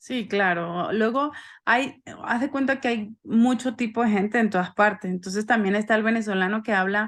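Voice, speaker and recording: A woman speaks in a fairly high pitch with ordinary pitch variation. The background is quiet. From Venezuela. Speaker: gynecologist. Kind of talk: podcast interview. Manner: fast.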